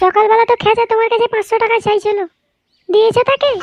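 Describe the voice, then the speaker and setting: A female-sounding, squeaky cartoonish character voice at an extremely high pitch speaks at a moderate pace. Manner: sharp, indignant.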